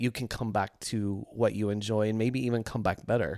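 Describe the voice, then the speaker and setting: On a very clean recording with a silent background, a man speaks at a medium pitch with an American accent. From US South. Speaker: podcast co-host, fitness. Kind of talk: casual chat.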